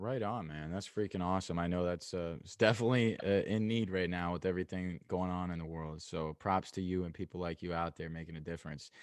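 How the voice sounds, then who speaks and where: A man with a very deep, low pitch races along at a very fast pace, hardly pausing. His intonation is fairly even, and the background is quiet. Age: 20s. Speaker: MMA podcast host. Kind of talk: casual interview.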